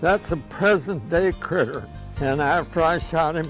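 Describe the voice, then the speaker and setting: Backed by music, a man talks at a fairly slow pace with a fairly high pitch and ordinary pitch variation. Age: 90s. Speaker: WWII fighter ace veteran. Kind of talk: interview answer, recounting war stories.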